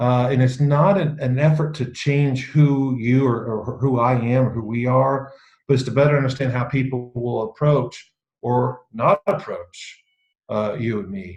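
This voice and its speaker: At a fairly slow speed, the man talks with a somewhat breathy voice at a medium pitch. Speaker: leadership speaker. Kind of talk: talk on self-awareness to an online group. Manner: hesitant, many fillers and repeats; deadpan irony.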